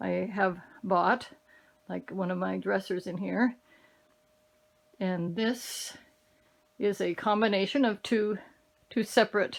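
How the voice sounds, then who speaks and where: In a very clean recording with a silent background, a woman talks at a very slow pace. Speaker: craft hobbyist and channel owner. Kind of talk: casual home tour. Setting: home craft room. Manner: straining to speak loudly; hesitant, with fillers.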